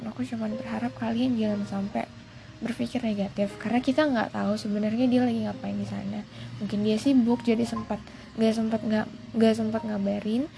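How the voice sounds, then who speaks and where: With noticeable background noise behind her, a woman speaks at a fairly quick pace. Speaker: podcaster. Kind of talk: casual monologue. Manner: halting, many fillers; code-switching English and Indonesian.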